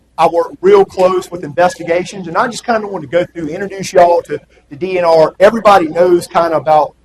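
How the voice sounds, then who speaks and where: A man with a strong Southern US accent, high-pitched and very fast, his intonation fairly even but his loudness swinging widely. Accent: Southern US, kept strong. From US South, South Carolina (rural Sumter County). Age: 40s. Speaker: attorney for a state wildlife agency. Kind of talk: presentation talk to an audience. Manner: casual, with many fillers.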